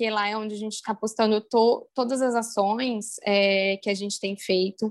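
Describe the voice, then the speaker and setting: A woman's fairly high voice in a monotone, flat intonation, with a dry, close sound and no echo. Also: moderate pace. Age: 30s. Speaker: activist, breastfeeding mother. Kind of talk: interview. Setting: podcast recording.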